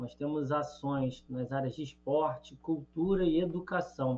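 With an ordinary speaking voice, this man talks at a fairly high pitch, his intonation fairly even. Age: 30s. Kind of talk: radio interview.

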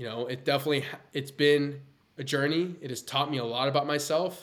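A man with a plain, everyday voice, fairly quick in pace and fairly even in intonation. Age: 20s. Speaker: entrepreneur. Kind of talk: casual chat.

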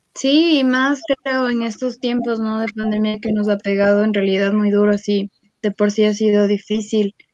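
At a moderate pace, a woman talks in an unremarkable speaking voice, fairly high in pitch with fairly even intonation. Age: 20s. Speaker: podcast host. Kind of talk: casual chat.

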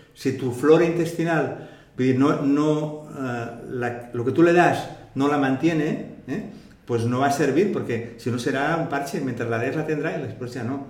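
Noticeable background noise and audible room echo surround a man speaking at a fairly slow pace. His pitch is fairly high, with ordinary variation. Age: 60s. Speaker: retired naturopathic physician. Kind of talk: interview.

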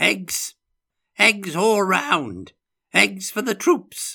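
Putting on a character voice, a man speaks at a very slow pace with a high pitch, lively intonation, a bright, sharp tone, a slightly husky edge and vocal fry, in a very clean recording with a silent background.

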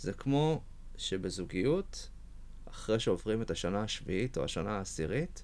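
A man with fairly low pitch talks at a fairly slow pace. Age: 20s. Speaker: poet and software engineer. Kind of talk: interview conversation. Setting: studio. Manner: hesitant, many fillers.

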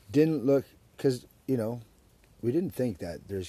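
Speaking very fast with a Western Canadian accent, a man has a dark, mellow tone, a somewhat breathy sound, and lively intonation. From Surrey, British Columbia, Canada. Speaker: podcast host. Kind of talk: casual chat. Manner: animated.

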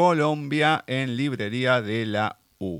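A man talks in a Rioplatense accent. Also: dry, close sound with no echo. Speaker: radio host. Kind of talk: radio interview. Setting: studio.

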